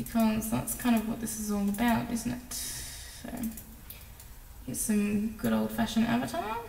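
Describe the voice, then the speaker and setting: Recorded with audible room echo and noticeable background noise, a woman speaks at a fairly slow pace. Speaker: video editing tutorial creator. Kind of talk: tutorial. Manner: casual, filler-heavy.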